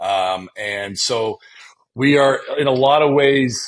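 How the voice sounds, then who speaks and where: A man with an Ontario accent and ordinary pitch variation. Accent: Canadian (Ontario). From Canada, Windsor, Ontario. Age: 40s. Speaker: entrepreneur. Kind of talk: casual interview chat. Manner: halting, repeats words.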